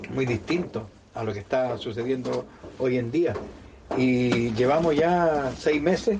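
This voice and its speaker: Speaking very slowly, a man uses a medium pitch with ordinary variation. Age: 50s. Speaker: circus clown. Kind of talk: interview. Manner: halting, repeats words.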